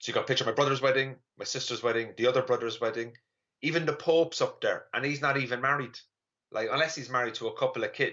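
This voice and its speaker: Speaking in an Irish accent, the voice moves at a very fast pace. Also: man. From Ireland. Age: 30s. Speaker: comedian. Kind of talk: stand-up. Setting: online live stream.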